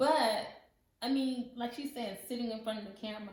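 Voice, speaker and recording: There is audible room echo as a woman talks with a fairly high pitch and ordinary pitch variation. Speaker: lifestyle channel co-host. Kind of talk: casual chat. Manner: loud.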